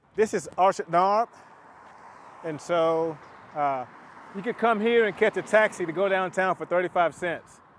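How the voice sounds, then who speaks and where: Speaking at a moderate pace with a Southern US accent, a man with a high pitch uses ordinary pitch variation and long, frequent pauses, in a dry, close sound with no echo. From US South, Chattanooga, Tennessee. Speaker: pilot and entrepreneur. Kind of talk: casual vlog narration.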